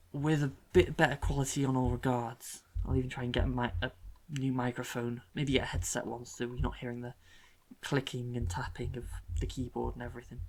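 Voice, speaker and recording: The speaker is soft-spoken and talks at a fairly quick pace. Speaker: gaming YouTuber. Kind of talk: casual gameplay commentary.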